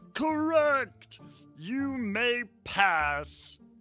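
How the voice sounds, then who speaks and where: A put-on character voice sits at a fairly high pitch and swings very widely in pitch. Faint music plays behind it. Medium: read story. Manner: bellowing, suspicious.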